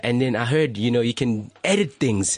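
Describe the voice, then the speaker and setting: Noticeable background noise runs under the recording. A man speaks with ordinary pitch variation. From South Africa, Limpopo and Johannesburg. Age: 20s. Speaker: photographer. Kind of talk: casual chat. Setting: radio studio.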